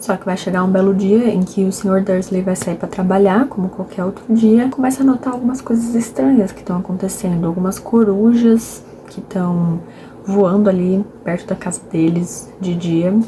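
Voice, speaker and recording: Against noticeable background noise, a soft-spoken woman talks with ordinary pitch variation. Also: medium pitch for a woman, moderate pace. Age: 20s. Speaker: book vlogger. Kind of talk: casual vlog book talk. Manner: soft-spoken, speaking quietly; talkative.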